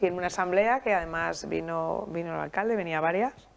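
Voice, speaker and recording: Over light background noise, a woman with an ordinary speaking voice talks at a fairly quick pace and a fairly low pitch. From Spain, Alicante; Spain. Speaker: festival federation president; guest. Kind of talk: interview. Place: studio. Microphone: lapel.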